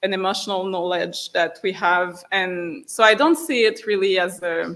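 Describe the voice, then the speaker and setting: A woman with a French accent at a medium pitch, with ordinary pitch variation and a moderate pace. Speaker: writer. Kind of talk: public discussion with audience. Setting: hall with audience. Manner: halting.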